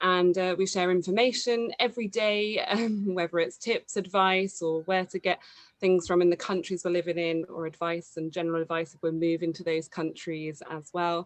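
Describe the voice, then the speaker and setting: This woman's fairly low voice keeps a fairly even intonation while her loudness swings widely. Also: moderate pace. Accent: southern English. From southern England, near London. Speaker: mothers' community organiser. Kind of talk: webinar panel discussion.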